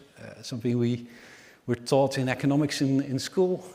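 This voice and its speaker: This man's pitch sits fairly high and varies in an ordinary way. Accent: Dutch. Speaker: energy market analyst. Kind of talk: conference presentation. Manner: hesitant, many fillers.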